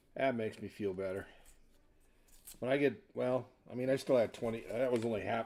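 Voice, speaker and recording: A quiet man with an American accent, medium pitch, fairly even intonation and a moderate pace. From Washington state, US. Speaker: coin collecting livestreamer. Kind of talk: casual live-stream chat while searching coins. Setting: live stream with hand cam. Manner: voice tends to get quieter as he talks.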